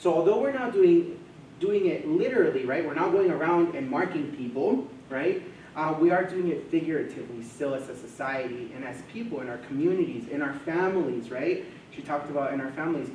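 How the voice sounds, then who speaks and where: In a room with audible echo and noticeable background noise, a man with a fairly high voice talks at a fairly quick pace with lively intonation. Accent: Spanish. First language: Spanish. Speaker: mental health coordinator. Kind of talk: presentation to a live audience.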